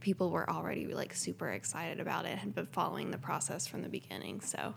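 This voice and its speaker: A woman's very deep, low voice with vocal fry and an American accent, fairly quick and swinging very widely in pitch, in a very clean recording with a silent background. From Lexington, Kentucky. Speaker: entrepreneur. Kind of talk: casual interview.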